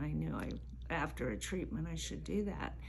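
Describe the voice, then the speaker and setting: Audible room echo fills the space. Through it, a woman talks. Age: 70s. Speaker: spa client receiving treatment. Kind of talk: interview testimony.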